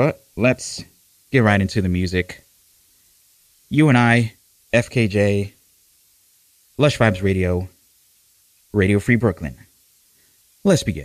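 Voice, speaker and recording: A man with a fairly low voice speaks at a fairly slow pace, leaving long, frequent pauses, with ordinary pitch variation. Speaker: radio DJ. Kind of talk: radio DJ patter. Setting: live radio studio. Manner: relaxed, chatty, warm; playful, self-deprecating, rambling with filler words.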